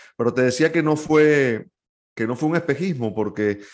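A man speaks with a Venezuelan accent. His pace is fairly quick, with ordinary pitch variation. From Venezuela, San Antonio de los Altos (Miranda). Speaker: sports journalist. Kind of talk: interview conversation.

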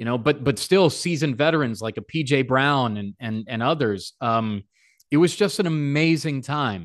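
A man with an American accent has an unremarkable speaking voice at medium pitch, with lively intonation over a quiet background. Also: moderate pace. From Chicago suburbs, Illinois. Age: 40s. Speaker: sports play-by-play broadcaster. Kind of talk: casual interview.

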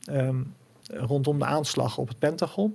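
Against noticeable background noise, a man's fairly high voice moves with ordinary pitch variation. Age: 50s. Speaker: financial commentator and author. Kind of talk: interview.

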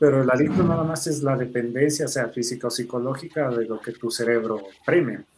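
In a plain, everyday voice, a man speaks at medium pitch and a fairly quick pace with ordinary pitch variation. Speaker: doctor and vaping activist. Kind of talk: interview.

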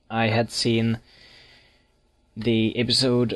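A man with a Finnish accent at a medium pitch, speaking at a very slow pace. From Finland. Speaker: listener leaving a voicemail for a podcast. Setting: recorded voicemail.

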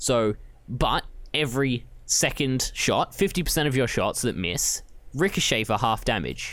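With an Australian accent, a man speaks at a medium pitch with lively intonation, vocal fry and very even loudness, in a very clean recording with a silent background. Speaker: podcast co-host. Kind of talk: casual chat.

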